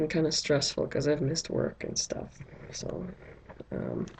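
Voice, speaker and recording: The delivery is monotone, with flat intonation. Background noise is noticeable. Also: woman. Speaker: doll collector vlogger. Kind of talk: unboxing video. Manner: slow.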